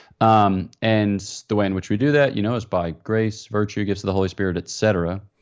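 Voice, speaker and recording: An American-accented man with an ordinary speaking voice at a fairly low pitch, fairly quick in pace and fairly even in intonation. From US, Philadelphia area. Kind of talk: interview.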